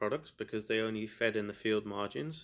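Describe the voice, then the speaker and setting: Over a quiet background, a man talks at a medium pitch with an English accent. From England. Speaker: podcaster. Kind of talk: solo monologue. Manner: monotone.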